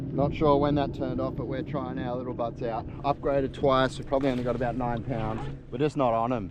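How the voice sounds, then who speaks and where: With an Australian accent, a man at medium pitch talks at a fairly quick pace and fairly even intonation, amid noticeable background noise and audible room echo. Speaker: pro bass angler. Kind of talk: fishing vlog. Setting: in a car.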